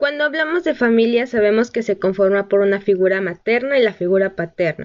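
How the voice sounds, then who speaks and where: Fairly quick and with lively intonation, the delivery is in an ordinary speaking voice. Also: woman. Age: 20s. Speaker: pedagogy student, podcast host. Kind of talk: solo educational talk.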